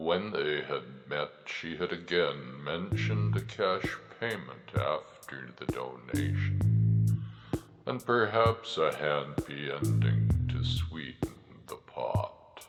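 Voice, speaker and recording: Over loud music in the background, a man puts on a character voice that is very deep and low, with very wide pitch swings and a very slow pace. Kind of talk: horror narration. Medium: read story. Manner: slow, ominous.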